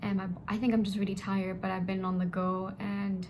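A woman speaks in a monotone with flat intonation over light background noise. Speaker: vlogger. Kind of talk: casual vlog chat. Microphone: phone near.

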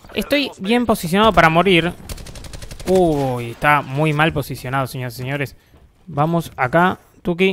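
A man with a Rioplatense accent, fairly high-pitched, at a moderate pace with lively intonation and long, frequent pauses. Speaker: gaming youtuber. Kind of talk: gameplay commentary. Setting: home bedroom. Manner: animated.

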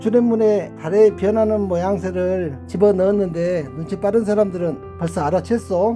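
A man with a Jeolla accent speaks at a moderate pace with music in the background. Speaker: village head. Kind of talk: tourist site audio guide.

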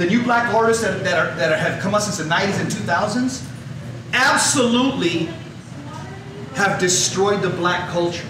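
With an American accent and a high pitch, a man speaks at a moderate pace with ordinary pitch variation and long, frequent pauses, amid noticeable background noise and audible room echo. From Los Angeles area, US. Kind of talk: talk. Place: hall.

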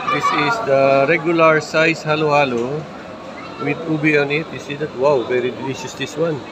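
With crowd noise behind him, a man talks at a moderate pace. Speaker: food vlogger. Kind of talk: casual vlog chat. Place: cafe. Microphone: phone near.

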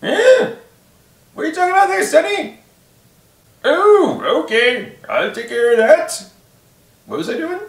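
In a put-on character voice, a man talks at a fairly slow pace with an extremely high pitch and very wide pitch swings, leaving long, frequent pauses, with a slight echo in the recording.

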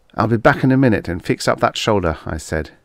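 A man's fairly low voice with vocal fry and very wide pitch swings, at a moderate pace, on a very clean recording with a silent background. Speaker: audiobook narrator. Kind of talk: dramatic audiobook narration of a first-person story with character voices. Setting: solo home recording, no music.

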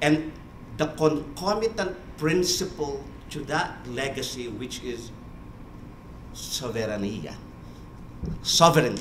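A man speaks very slowly, with long, frequent pauses and big swings in loudness. His pitch is fairly high, and there is light background noise. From Philippines. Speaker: church official in international affairs. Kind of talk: panel remarks. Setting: conference room with audience. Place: meeting room.

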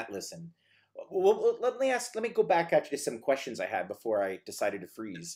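Fairly quick speech from a man against a quiet background. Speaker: marketing director and interviewer; interviewer. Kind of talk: live webinar interview. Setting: video call. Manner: animated. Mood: friendly, joking.

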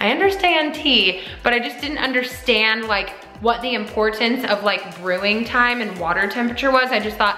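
Over faint background music and audible room echo, a woman speaks at a moderate pace. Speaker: vlogger. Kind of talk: casual vlog chat. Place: kitchen. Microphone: phone near.

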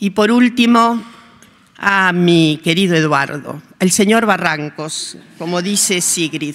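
At a very slow pace, a woman speaks with a fairly low pitch and ordinary pitch variation. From Argentina, La Pampa. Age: 70s. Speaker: sociologist and historian receiving an award. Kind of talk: acceptance speech. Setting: legislative hall ceremony. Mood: warm, earnest, at times ironic. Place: hall. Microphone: podium.

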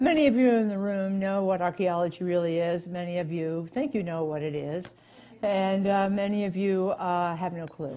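Her tone is dark and mellow, and her pitch varies in an ordinary way. The woman talks at a moderate pace. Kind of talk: lecture. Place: hall.

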